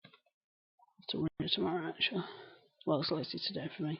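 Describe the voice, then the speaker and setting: Here is a woman speaking. She has a strong Lancashire accent. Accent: broad Lancashire. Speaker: live streamer. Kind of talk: casual chat. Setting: live stream. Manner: articulate.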